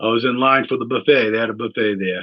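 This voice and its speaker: With a New England accent, a man talks at a fairly quick pace in a medium pitch. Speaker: political candidate. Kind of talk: campaign video monologue. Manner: rambling, hesitant with fillers.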